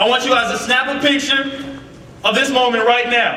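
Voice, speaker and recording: Amid audible room echo and noticeable background noise, a raised, projected voice speaks at a moderate pace in an animated tone. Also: man. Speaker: youth speaker. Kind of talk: youth sermon. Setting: stage with youth audience. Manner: loud.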